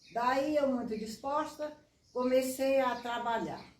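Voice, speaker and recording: With audible room echo, a woman speaks at a fairly slow pace in a high pitch. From Piauí, northeastern Brazil. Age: 90s. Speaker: veteran street runner. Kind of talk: interview.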